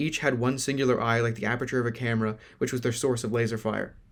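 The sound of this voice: Delivered in an unforced reading voice, the speech has fairly even intonation.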